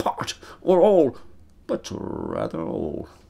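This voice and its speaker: A man talks over a quiet background. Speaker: actor performing a monologue. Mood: bitter, anguished, vengeful. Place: studio.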